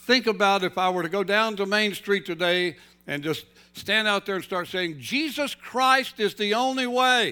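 Speaking in a Southern US accent, a man uses a raised, projected voice at a high pitch with ordinary pitch variation and a moderate pace. The recording is very clean, with a silent background. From North Carolina. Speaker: pastor. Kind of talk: sermon.

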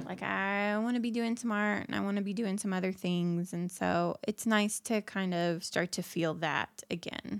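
A woman in a plain, everyday voice speaks at a moderate pace and medium pitch, with fairly even intonation and hardly any pauses. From Indiana. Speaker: podcast co-host. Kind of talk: casual chat.

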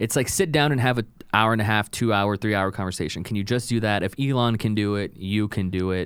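A man with an American accent talks at a very fast pace in a fairly low pitch with ordinary pitch variation. The recording is very clean, with a silent background. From South Texas (Rio Grande Valley). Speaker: indie filmmaker. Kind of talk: casual chat.

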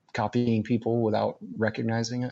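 A man's medium-pitched, ordinary speaking voice at a moderate pace. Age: 30s. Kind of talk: casual conversational podcast chat, storytelling.

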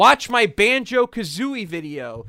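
A bright, sharp tone in an American accent, with very wide pitch swings, in a very clean recording with a silent background. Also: man. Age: 20s. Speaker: content creator. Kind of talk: casual chat.

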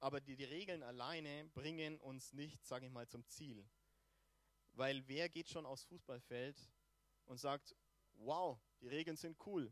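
A man with a fairly high pitch and ordinary pitch variation talks at a fairly slow pace, with long, frequent pauses. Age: 30s. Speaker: preacher. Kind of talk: sermon. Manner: hesitant, many filler sounds.

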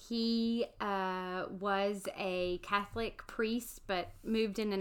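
In a very clean recording with a silent background, a woman speaks at a medium pitch with ordinary pitch variation. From US South, Alabama. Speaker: podcast co-host, seminary student. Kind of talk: casual chat.

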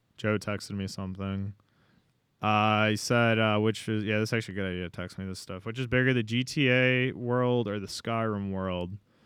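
Using an animated tone, a man speaks at a fairly quick pace with a fairly low pitch. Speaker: podcast host. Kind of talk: casual banter. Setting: studio. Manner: animated, joking.

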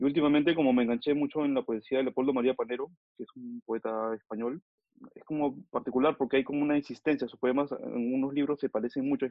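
Speaking very fast at a medium pitch, a man keeps a flat, monotone intonation while his loudness swings widely. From Peru (Lima). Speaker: photographer and book editor. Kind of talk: interview.

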